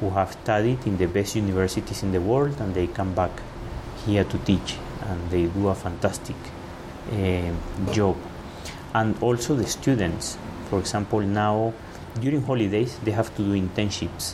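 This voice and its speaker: A man speaks with ordinary pitch variation and long, frequent pauses. Noticeable background noise runs underneath. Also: fairly low pitch for a man, moderate pace. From Venezuela. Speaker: law school dean. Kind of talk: interview conversation.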